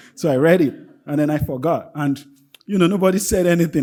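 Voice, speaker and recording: Speaking at a fairly quick pace, a man with a Nigerian accent has a high-pitched voice. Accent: Nigerian (Yoruba) English. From Nigeria (Yoruba-speaking area). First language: Yoruba. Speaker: poet. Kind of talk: poetry reading with casual commentary. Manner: halting, many fillers.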